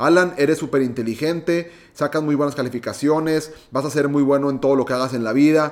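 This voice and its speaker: A man speaks at a moderate pace. His pitch sits fairly high. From Mexico, Monterrey, Nuevo León. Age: 20s. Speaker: podcast host, entrepreneur. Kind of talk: solo podcast monologue.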